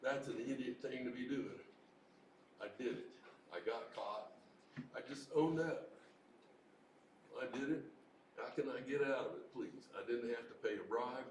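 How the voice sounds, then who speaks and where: At a moderate pace, the speech comes with long, frequent pauses, audible room echo and noticeable background noise. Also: man. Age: 70s. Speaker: Vietnam veteran. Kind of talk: open mic testimony. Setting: recovery meeting open mic, livestreamed.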